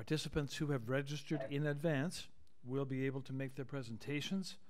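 A man speaks at a moderate pace. Behind him, the background stays quiet. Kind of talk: formal procedural announcement.

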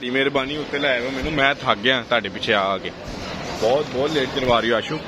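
Clear background noise behind a man speaking at a fairly quick pace. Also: medium pitch for a man, ordinary pitch variation.

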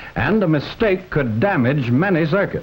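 The speaker moves at a moderate pace while the pitch swings very widely. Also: man. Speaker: film narrator. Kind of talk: documentary narration.

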